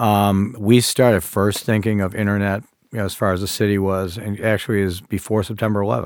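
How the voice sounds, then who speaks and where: Delivered at a fairly quick pace, this is a plain, everyday voice. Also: man. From Buffalo, New York. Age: 60s. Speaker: mayor. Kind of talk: podcast interview.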